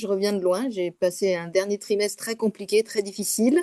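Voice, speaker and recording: Noticeable background noise sits behind a woman speaking at a moderate pace. Her fairly high pitch shows ordinary variation, and the sound is dry and close with no echo. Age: 60s. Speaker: course participant. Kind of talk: testimony.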